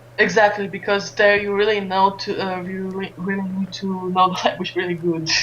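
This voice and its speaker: Over noticeable background noise, a woman with a Romanian accent speaks in a monotone, flat way at a moderate pace with hardly any pauses. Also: medium pitch for a woman. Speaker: esports streamer and caster. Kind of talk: interview. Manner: halting, many fillers.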